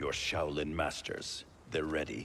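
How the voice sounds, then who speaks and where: A man puts on a character voice, very deep and low in pitch. He talks at a fairly slow pace over clear background noise. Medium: video game. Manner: stern, suspicious.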